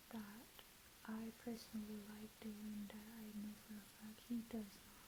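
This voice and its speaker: A woman whispers, soft-spoken and somewhat breathy. She speaks at a very slow pace. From Jamaica. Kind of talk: ASMR chit chat, reintroduction. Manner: soft whispered.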